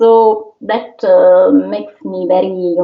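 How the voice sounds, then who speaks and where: A woman speaks with an Italian accent. Her pace is fairly slow. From Italy. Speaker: opera singer. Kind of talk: interview. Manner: halting.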